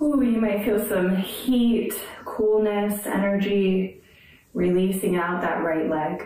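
Amid audible room echo, a woman speaks very slowly in a calm, soothing tone. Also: ordinary pitch variation, very even loudness. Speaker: yoga instructor. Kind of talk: guided yoga class, calm step-by-step cueing. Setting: video call. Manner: calm, slow, soothing; instructive, gentle, encouraging. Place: home room.

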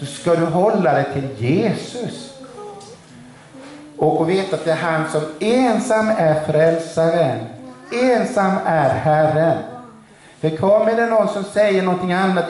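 A man speaks at a fairly slow pace with lively intonation. Light background noise and audible room echo surround him. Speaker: preacher. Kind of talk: sermon. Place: church. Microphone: camera far.

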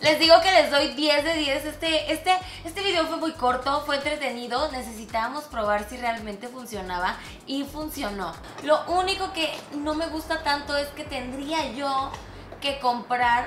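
Clear music plays in the background and there is audible room echo. A woman with a high voice talks at a fairly slow pace with ordinary pitch variation. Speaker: beauty product reviewer. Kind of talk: casual vlog chat. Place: studio.

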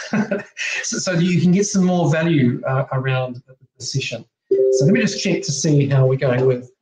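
With audible room echo and light background noise, a man speaks at a moderate pace with a fairly high pitch and lively intonation. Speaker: presenter. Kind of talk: online slide presentation. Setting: video call. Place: home room. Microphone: webcam.

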